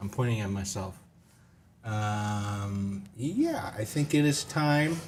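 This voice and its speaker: At a very slow pace, a man with a fairly low pitch talks with ordinary pitch variation while background noise is noticeable. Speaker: game review show host. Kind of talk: casual chat. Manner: loud; animated. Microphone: audio issues.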